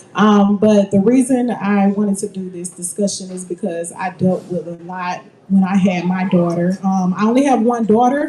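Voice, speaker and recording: Over noticeable background noise, a woman at medium pitch speaks at a moderate pace with ordinary pitch variation and big swings in loudness. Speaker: mental health advocate panelist. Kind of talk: panel discussion.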